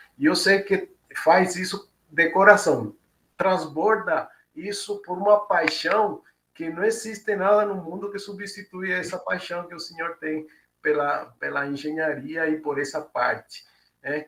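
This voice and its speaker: Speaking fairly slowly with a Cuban accent, a man talks at a high pitch with ordinary pitch variation. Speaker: engineering professor. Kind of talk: closing remarks at a webinar. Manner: halting, many fillers.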